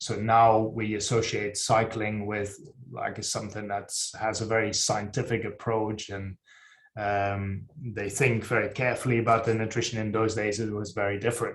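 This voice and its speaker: A man speaks at a moderate pace in a fairly low pitch, somewhat breathy. His intonation is monotone and flat. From Netherlands. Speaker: sports nutrition scientist. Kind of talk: presentation. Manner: halting, many fillers.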